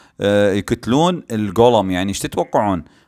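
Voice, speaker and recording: Animated in tone, a man with fairly low pitch makes very wide pitch swings in a very clean recording with a silent background. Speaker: gaming YouTuber. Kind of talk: gameplay commentary. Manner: halting, many fillers.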